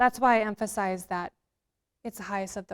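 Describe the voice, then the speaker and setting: A woman talks at a very fast pace with monotone, flat intonation. The sound is dry and close with no echo, and the recording is very clean with a silent background. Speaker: economist presenter. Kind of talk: Q&A after presentation.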